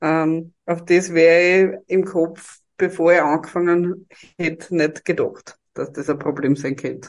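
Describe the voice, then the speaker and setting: A woman speaks with a Styrian accent. Her fairly low voice moves at a fairly slow pace. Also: fairly even intonation. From Styria, Austria. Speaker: HR professional and podcaster. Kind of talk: interview.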